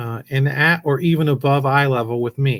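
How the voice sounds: The speaker reads in a natural reading voice.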